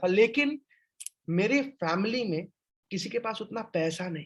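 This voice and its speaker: The man's pitch is high. His intonation is lively. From India, Jharkhand (Jamshedpur). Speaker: business franchise trainer. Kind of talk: webinar sales presentation. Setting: online webinar with chat.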